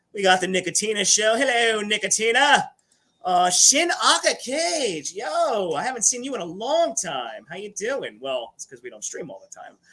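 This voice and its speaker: A man projects his raised voice at a high pitch. The tone comes out bright and sharp. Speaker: livestream host. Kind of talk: casual live chat. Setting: livestream. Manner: animated.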